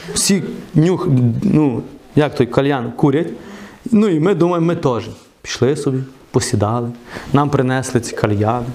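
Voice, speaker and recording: An animated voice at a moderate pace with long, frequent pauses, noticeable background noise and audible room echo. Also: man. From western Ukraine, Truskavets. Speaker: preacher. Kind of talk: sermon.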